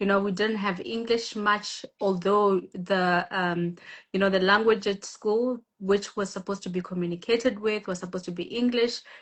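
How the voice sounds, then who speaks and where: Speaking at a moderate pace, a woman with a South African accent barely pauses. Her voice is medium in pitch, and her intonation stays fairly even. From South Africa, Limpopo village. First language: Tshivenda. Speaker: guest speaker on women's empowerment live. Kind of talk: live interview. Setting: Instagram live video. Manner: hesitant, many fillers.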